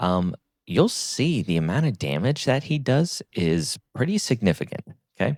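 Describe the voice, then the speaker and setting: Quiet, with very wide pitch swings, a man speaks at a moderate pace in a dry, close sound with no echo. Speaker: gaming content creator. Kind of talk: game guide commentary. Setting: home recording, early morning. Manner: quiet, speaking low.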